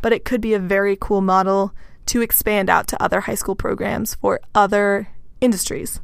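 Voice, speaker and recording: A woman with an American accent and an ordinary speaking voice, fairly high in pitch, at a moderate pace, on a very clean recording with a silent background. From Texas. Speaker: podcast co-host, agriculture worker. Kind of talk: casual chat.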